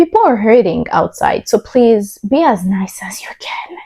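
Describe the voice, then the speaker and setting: A woman's somewhat breathy, dark, mellow voice at a fairly high pitch, with lively intonation, a moderate pace, and a dry, close sound with no echo. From Burundi. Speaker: YouTuber. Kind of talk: testimony. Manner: code-switching English, Kirundi and French.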